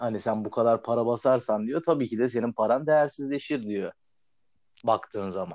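Speaking in a plain, everyday voice, a man keeps a moderate pace. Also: medium pitch for a man, ordinary pitch variation. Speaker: podcast host. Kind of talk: casual chat.

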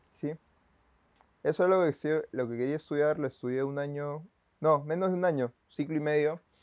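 A man with a Peruvian accent and a fairly high pitch speaks at a moderate pace with fairly even intonation and long, frequent pauses, in a dry, close sound with no echo. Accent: Peruvian Spanish (Lima). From Peru, Lima. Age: 20s. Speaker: photographer and church video volunteer. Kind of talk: casual interview.

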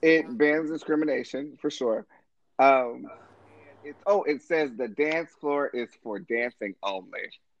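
In a dry, close sound with no echo, a man with a fairly high pitch and an unremarkable speaking voice talks at a fairly slow pace, with ordinary pitch variation and big swings in loudness. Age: 30s. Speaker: guest co-host. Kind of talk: casual chat.

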